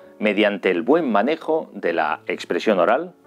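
A man at a moderate pace with faint music in the background. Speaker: journalist, communication teacher, radio and TV presenter. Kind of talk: educational course introduction to camera. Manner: polished, articulate, professional broadcaster delivery. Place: home room. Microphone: studio mic.

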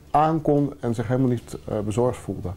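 Over faint background music, a man talks at a fairly quick pace in a medium pitch with ordinary pitch variation and a dark, mellow tone. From Netherlands. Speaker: charity founder. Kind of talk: interview. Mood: earnest, calm. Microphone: lapel.

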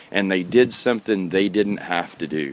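This man has a very deep, low voice, talks at a moderate pace, and sounds dry with no echo. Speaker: guitarist and video blogger. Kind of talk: casual rant to camera. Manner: hesitant, many fillers. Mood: earnest, mildly ranting. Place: garden. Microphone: phone near.

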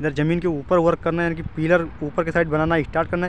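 A man's high-pitched, fairly quick voice, dry with no echo, over light background noise. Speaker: vlogger. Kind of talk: casual vlog commentary. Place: open country. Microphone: phone near.

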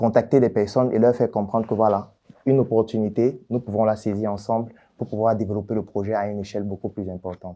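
A man talks at a very fast pace. His tone is dark and mellow, with fairly even intonation. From Cameroon, Yaoundé; Cameroon. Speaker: doctor and entrepreneur; interviewee. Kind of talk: interview. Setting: office. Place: studio. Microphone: lapel.

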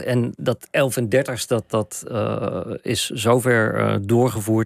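A man speaks at medium pitch with fairly even intonation. The background is quiet and the sound is dry, with no echo. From Randstad, Netherlands; Netherlands. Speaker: journalist and author; journalist. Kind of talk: radio interview. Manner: halting. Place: studio. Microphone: studio mic.

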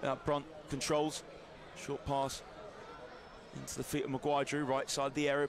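A man talks in an animated tone. There is noticeable background noise. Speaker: football commentator. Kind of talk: live match commentary over highlights. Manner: fast, rapid-fire play-by-play; animated, rising with big moments.

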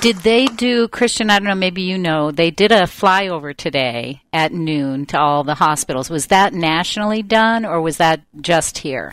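A woman with an unremarkable speaking voice talks at a moderate pace, fairly low in pitch, with lively intonation and hardly any pauses. The recording is very clean, the background silent.

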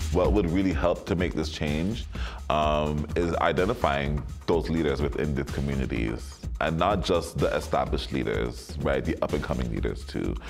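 Over clear music in the background, a man with a very deep, low pitch speaks at a moderate pace with ordinary pitch variation and very even loudness. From Toronto. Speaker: ballroom community organizer. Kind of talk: interview answer. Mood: earnest, advocating. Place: home room.

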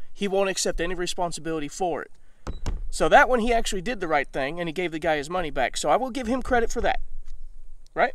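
Very fast speech with an American accent and lively intonation is broken by long, frequent pauses, the sound dry with no echo. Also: man, high pitch for a man. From Mississippi, US South. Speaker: video channel host, gun reviewer. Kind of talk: angry rant. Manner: indignant, emphatic, sarcastic. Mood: critical, aggrieved but measured. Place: open country. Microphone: phone near.

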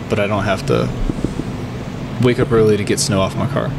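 This is a man's voice. Noticeable background noise can be heard. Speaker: podcast guest. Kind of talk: interview answer. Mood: relaxed, laughing at times. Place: cafe. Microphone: studio mic.

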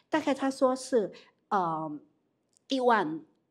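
A woman at a very slow pace, her pitch swinging very widely, on a very clean recording with a silent background. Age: 50s. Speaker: direct sales leader. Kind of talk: business talk.

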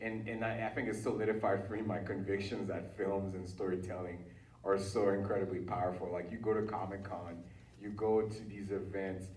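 Fairly low in pitch, a man talks at a fairly quick pace in a monotone, flat intonation. The recording has audible room echo and noticeable background noise. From Haiti (Port-au-Prince). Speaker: writer and creative entrepreneur. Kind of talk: panel discussion.

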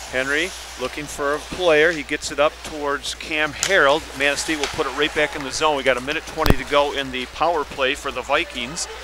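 The speech comes at a fairly quick pace with hardly any pauses and monotone, flat intonation over noticeable background noise. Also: man, fairly high pitch for a man. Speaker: sports commentator. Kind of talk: live commentary. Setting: commentary booth at ice rink.

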